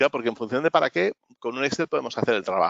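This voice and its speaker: A man talks with lively intonation. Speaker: business consultant. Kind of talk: webinar talk. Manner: fast.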